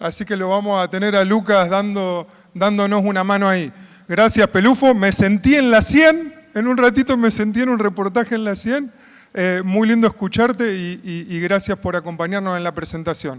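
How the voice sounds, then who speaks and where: This man's pitch is high. He speaks at a moderate pace with ordinary pitch variation. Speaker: conference moderator, agronomist. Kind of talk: conference opening remarks.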